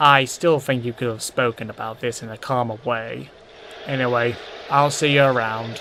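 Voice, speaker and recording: This voice is a put-on character. Its pace stays moderate. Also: man, medium pitch for a man. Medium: audio drama.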